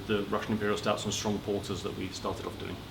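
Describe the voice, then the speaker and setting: This man has a fairly low pitch and a southern English accent. Noticeable background noise and audible room echo surround his voice. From Watford, southern England. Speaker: brewer. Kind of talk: interview.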